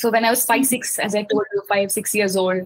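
Somewhat breathy, fairly high woman's voice at a fairly quick pace. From India, Mumbai. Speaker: children's book author. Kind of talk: interview.

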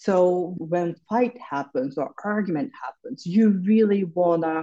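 A woman with a Japanese accent speaks fairly slowly at a medium pitch, her tone dark and mellow and her intonation lively. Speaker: psychotherapist. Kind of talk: interview.

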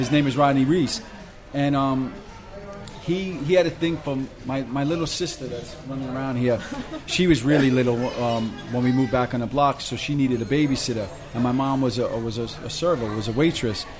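A man with a New York accent at a fairly quick pace, long, frequent pauses and ordinary pitch variation, amid audible room echo and noticeable background noise. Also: medium pitch for a man. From Brooklyn, New York. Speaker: graffiti artist and restaurant owner. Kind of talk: casual interview. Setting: restaurant.

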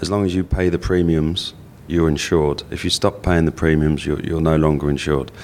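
A man speaks with a very deep, low pitch and fairly even intonation. There is noticeable background noise. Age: 40s. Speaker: life insurance adviser. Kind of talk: interview. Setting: hotel venue.

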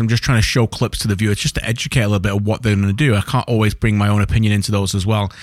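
Very fast, fairly even male speech at a fairly low pitch. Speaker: podcast host and football broadcaster. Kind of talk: casual football chat podcast. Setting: studio, recorded late at night. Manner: conversational, jokey, interrupts.

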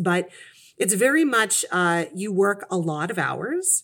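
In a very clean recording with a silent background, a normal speaking voice with a Canadian accent carries lively intonation. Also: woman. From Canada, Kitchener, Ontario. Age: 40s. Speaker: career changer, former retail manager. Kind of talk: interview conversation.

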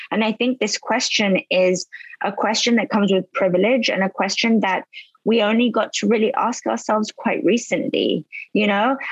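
A woman speaks at a moderate pace in a fairly high, somewhat breathy voice with ordinary pitch variation. Her loudness stays very even, and the sound is dry and close with no echo. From London and Spain. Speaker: beverage company founder. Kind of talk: casual chat.

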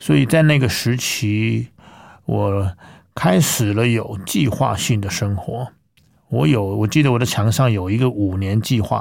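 This man speaks at a fairly slow pace with a fairly low pitch and ordinary pitch variation. The recording is very clean, with a silent background. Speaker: classical singer. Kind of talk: interview testimony. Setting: studio.

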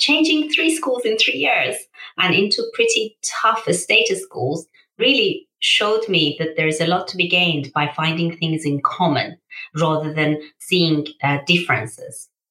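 A woman speaks in a Persian accent. Her pace is fairly slow. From Iran, then Birmingham from age 13. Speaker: charity founder and CEO. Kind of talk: interview.

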